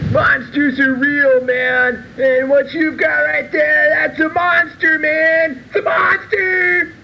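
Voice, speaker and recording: Over clear background noise, a man with an extremely high voice projects it loudly at a very slow pace. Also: hardly any pauses. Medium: short film. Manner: frantic, ranting, stoner slang.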